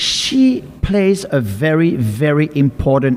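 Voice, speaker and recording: Over noticeable background noise, the speaker moves at a very slow pace with lively intonation. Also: man. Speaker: podcast host. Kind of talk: podcast interview host talk.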